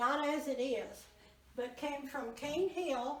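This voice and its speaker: In a Southern US accent, a woman speaks with ordinary pitch variation. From Arkansas. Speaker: museum docent. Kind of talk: museum tour guide talk.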